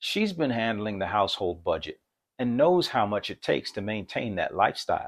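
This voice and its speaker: Here a man speaks at a fairly quick pace. The recording is very clean, with a silent background. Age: 60s. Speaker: financial educator and airline pilot. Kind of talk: scripted narration.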